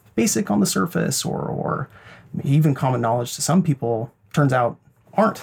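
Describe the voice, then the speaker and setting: With an American accent, a man speaks at a moderate pace and medium pitch in a plain, everyday voice. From Idaho, rural. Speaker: psychologist. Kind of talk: interview.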